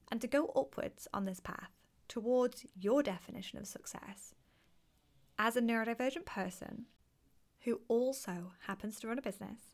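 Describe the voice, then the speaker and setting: A soft-spoken woman talks at a moderate pace with a fairly high pitch. Her somewhat breathy voice has ordinary pitch variation. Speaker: podcast host and neuro-inclusive business coach. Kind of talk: solo podcast monologue.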